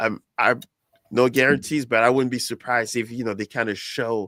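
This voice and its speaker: A man with a French accent speaks at a medium pitch in a bright, sharp tone. The recording is very clean and dry, close with no echo and a silent background. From France. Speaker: soccer podcast host. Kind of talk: casual chat.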